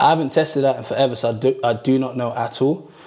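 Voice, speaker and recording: Ordinary pitch variation from a man, with noticeable background noise. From Norway, Ghanaian family. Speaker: fitness content creator. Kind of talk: livestream Q&A. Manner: casual, relaxed.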